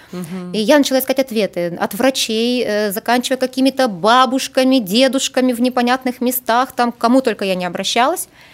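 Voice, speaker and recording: A woman speaks fairly quickly while noticeable background noise carries on behind her. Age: 40s. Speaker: astropsychologist. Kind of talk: interview. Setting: studio.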